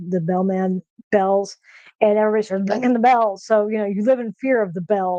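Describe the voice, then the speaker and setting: At a moderate pace, a woman speaks with fairly even intonation in a dry, close sound with no echo. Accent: American. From Texas. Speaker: streamer cooking live. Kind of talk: casual livestream chat. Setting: live stream. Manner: monotone.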